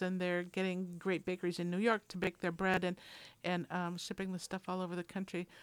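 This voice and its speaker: A woman speaks fairly quickly at a medium pitch in an ordinary speaking voice. The recording is very clean, with a silent background. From Minnesota, US. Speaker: community radio food show co-host. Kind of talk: casual chat. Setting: radio studio.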